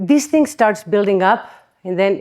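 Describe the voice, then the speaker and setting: Speaking in a Spanish accent at a fairly slow pace, a woman of medium pitch has a dark, mellow tone. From Spain. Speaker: chiropractic conference speaker. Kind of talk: conference talk. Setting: stage with audience. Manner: animated.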